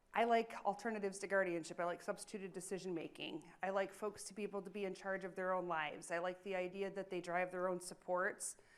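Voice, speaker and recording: A woman with an American accent at a very fast pace, medium pitch, monotone, flat intonation, hardly any pauses. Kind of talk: conference presentation.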